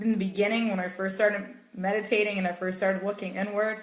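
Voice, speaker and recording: A woman speaks with fairly even intonation. Audible room echo and noticeable background noise fill the recording. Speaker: meditation coach. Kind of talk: live stream talk. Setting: Facebook live video.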